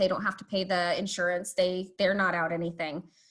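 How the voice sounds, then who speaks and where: This woman talks at a fairly quick pace in a medium-pitched, somewhat breathy voice. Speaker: police community engagement specialist. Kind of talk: online presentation. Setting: video call. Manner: fast.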